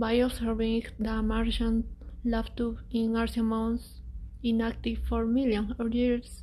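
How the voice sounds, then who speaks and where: A woman with a non-native accent speaks at a fairly slow pace and very even loudness over noticeable background noise. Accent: non-native English speaker. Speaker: architect presenting a space habitat design. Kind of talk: presentation.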